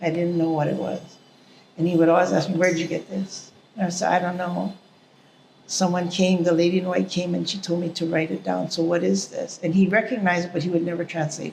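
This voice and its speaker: A woman's fairly low voice in a Hawaiian accent, very fast and in a monotone, flat intonation. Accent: Hawaiian local English. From Hawaii, Honolulu / Oahu. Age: 60s. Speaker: interviewee, artist. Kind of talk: interview, life story.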